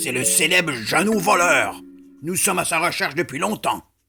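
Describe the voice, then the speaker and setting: A woman performs a put-on character voice with a very deep, low pitch. She keeps a moderate pace over faint background music. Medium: read story. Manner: commanding.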